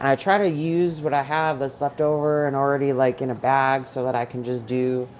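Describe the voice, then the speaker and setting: Speaking at a fairly quick pace with hardly any pauses, a woman with an American accent and a very deep, low pitch comes through over noticeable background noise. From New York. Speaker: home cook vlogger with chronic illness. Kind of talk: cooking tutorial. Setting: home kitchen. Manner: loud; animated.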